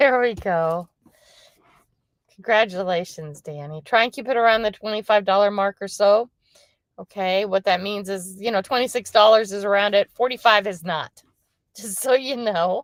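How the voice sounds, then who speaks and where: A woman speaks at a moderate pace and medium pitch with ordinary pitch variation and big swings in loudness, in a dry, close sound with no echo. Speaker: lifestyle livestreamer. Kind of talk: casual livestream chat. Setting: livestream on the road. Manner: quiet.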